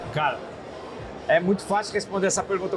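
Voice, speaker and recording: A man speaks with fairly even intonation, with audible room echo and music playing in the background. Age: 60s. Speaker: business founder. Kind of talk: podcast interview. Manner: repetitive, halting.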